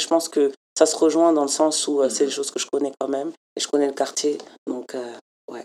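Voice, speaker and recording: A woman speaks in a very deep, low pitch with a dark, mellow tone. Her intonation is monotone and flat. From France. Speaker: community program coordinator. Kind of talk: interview.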